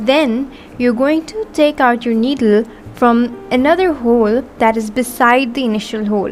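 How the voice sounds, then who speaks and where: Noticeable background noise sits behind a woman's high-pitched voice. Her pitch variation is ordinary. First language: not English. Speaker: embroidery artist. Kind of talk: tutorial. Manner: instructional, measured.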